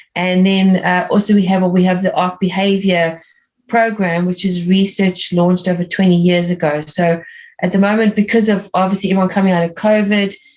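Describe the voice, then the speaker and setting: A woman speaks at a fairly quick pace and a medium pitch. Her intonation is monotone and flat, and her loudness stays very even. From South Africa. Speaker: art teacher and art coach. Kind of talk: interview conversation.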